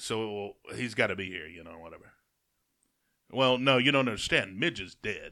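A man with an Alabama accent speaks at a moderate pace in a fairly low, bright, sharp voice with lively intonation, long, frequent pauses and big swings in loudness. The recording is very clean, with a silent background. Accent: US Southern (Alabama). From Alabama, Jasper. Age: 30s. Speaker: radio host. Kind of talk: casual chat.

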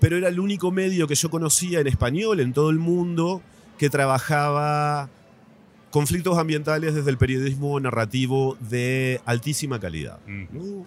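A man speaks at a moderate pace in an unremarkable speaking voice, fairly high in pitch with ordinary pitch variation. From Argentina, Paraná, Entre Ríos. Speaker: journalist. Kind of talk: interview. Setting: book fair.

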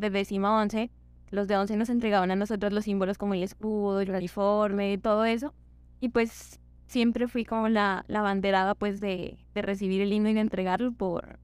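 In a very clean recording with a silent background, a woman with an unremarkable speaking voice talks at a medium pitch and a fairly quick pace. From Colombia, Ipiales (Nariño). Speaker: medical student. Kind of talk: casual chat.

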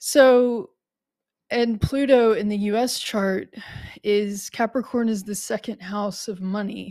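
In an American accent, the voice moves at a very slow pace with a dark, mellow tone and fairly even intonation, on a very clean recording with a silent background. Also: woman, fairly high pitch for a woman. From United States. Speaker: astrologer podcast host. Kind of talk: solo podcast monologue. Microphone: new upgraded microphone.

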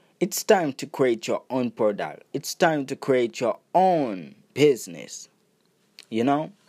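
A man with a Haitian accent at medium pitch and a very slow pace, lively in intonation, in a dry, close sound with no echo on a very clean recording with a silent background. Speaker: podcast host, entrepreneur and music producer. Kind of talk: motivational monologue.

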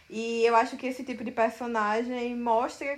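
A woman with an ordinary speaking voice talks at a fairly slow pace, her pitch fairly high. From Brazil, Paraíba (Campina Grande). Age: 20s. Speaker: novelist. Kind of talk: interview.

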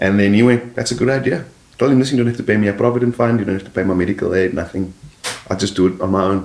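Through noticeable background noise, a man talks very fast in a fairly low pitch with ordinary pitch variation. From South Africa, Cape Town (District Six area). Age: 40s. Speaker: comedian. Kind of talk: casual chat.

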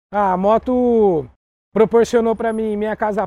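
A man with a high pitch and a dark, mellow tone is heard in a dry, close sound with no echo. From São Paulo, Brazil. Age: 30s. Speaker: motorcycle courier. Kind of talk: interview. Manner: casual.

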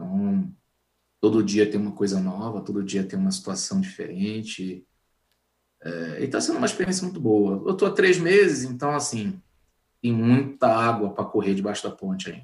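At a moderate pace, a man talks in a medium pitch that swings very widely up and down. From northern Brazil (Manaus, Amazonas; family from Pará). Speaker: IT professional, database administrator. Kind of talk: interview on a live stream.

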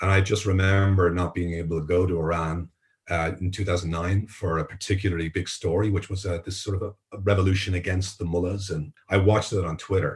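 Speaking at a fairly quick pace with hardly any pauses, a man with an Irish accent has a very deep, low pitch, a somewhat breathy quality, and monotone, flat intonation. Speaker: journalist and tech entrepreneur. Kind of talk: interview.

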